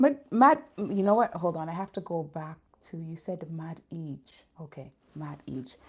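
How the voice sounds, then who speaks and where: Somewhat breathy, the voice has lively intonation and big swings in loudness. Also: woman, fairly low pitch for a woman, fairly slow pace. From Canada. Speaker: faith vlogger. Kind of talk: live stream chat. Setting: livestream. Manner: casual, conversational.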